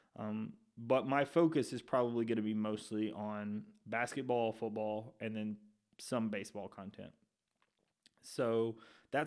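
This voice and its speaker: On a very clean recording with a silent background, a man with an Alabama accent speaks with fairly even intonation. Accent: Southern US (Alabama). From Alabama, Shelby County. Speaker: sports podcast host. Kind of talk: casual intro monologue.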